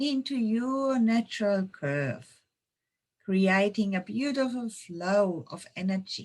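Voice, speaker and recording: A woman with a slight German accent speaks very slowly at a medium pitch. Her tone is calm and somewhat breathy, with lively intonation. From Germany, Munich. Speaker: intuition trainer and yoga teacher. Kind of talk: webinar presentation; guided meditation. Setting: online webinar. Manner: slow, calm.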